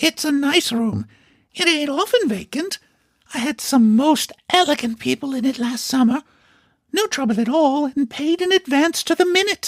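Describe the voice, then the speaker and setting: A man's put-on character voice, extremely high in pitch, at a moderate pace. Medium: read story. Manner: wheedling, chatty.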